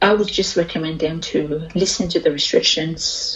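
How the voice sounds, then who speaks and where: A woman with an Australian accent, a fairly low pitch, fairly even intonation and a fairly slow pace over noticeable background noise. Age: 20s. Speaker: oral health therapist. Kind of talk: interview.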